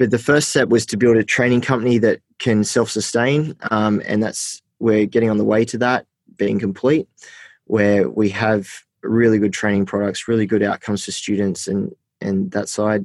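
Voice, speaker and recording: A man with an Australian accent speaks in a fairly low pitch with fairly even intonation at a moderate pace. The recording is very clean and dry, close with no echo, over a silent background. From New South Wales, Australia (Port Macquarie, Armidale). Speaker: social enterprise founder. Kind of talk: interview. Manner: casual, filler-heavy.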